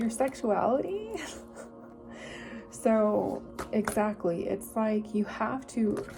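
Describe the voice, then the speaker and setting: A woman talks very slowly, leaving long, frequent pauses, with noticeable background noise behind her. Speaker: tarot reader. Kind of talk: tarot reading monologue. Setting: video recording.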